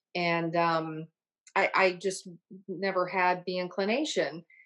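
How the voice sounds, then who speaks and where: Here is a normal speaking voice: a woman with an American accent at a medium pitch. Her intonation is fairly even, and the background is quiet. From Ohio. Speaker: private club membership director. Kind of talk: interview. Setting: video call.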